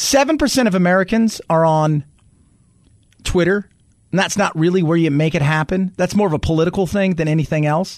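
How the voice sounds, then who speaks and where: A man with a high pitch at a fairly quick pace, very even in loudness, with ordinary pitch variation. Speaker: talk radio host. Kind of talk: talk radio show. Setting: studio. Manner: fast.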